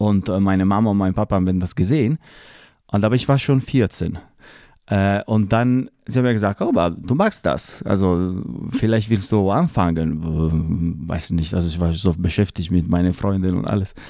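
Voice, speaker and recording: A man with an Italian accent speaks at a moderate pace in a very deep, low voice with a dark, mellow tone and ordinary pitch variation, on a very clean recording with a silent background. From northern Italy, Lake Como. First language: Italian (speaking German). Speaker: opera répétiteur and pianist. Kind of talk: casual interview. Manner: halting, searching for words.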